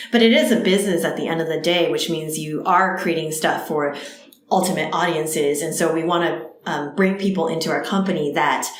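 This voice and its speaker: A woman with an American accent speaks at a fairly low pitch, with audible room echo. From US Northeast (New Jersey). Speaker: startup co-founder. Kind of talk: interview.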